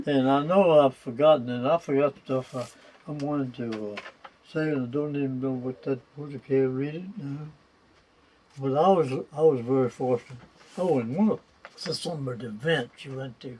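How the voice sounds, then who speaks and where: A man at a fairly high pitch with a Virginia Tidewater accent, ordinary pitch variation, a moderate pace and long, frequent pauses, against noticeable background noise. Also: big swings in loudness. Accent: Virginia Tidewater Southern. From Virginia, Middlesex County (Deltaville). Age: 100 years old. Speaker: war veteran and retired hardware merchant. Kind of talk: oral history interview. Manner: halting, with false starts and repetitions.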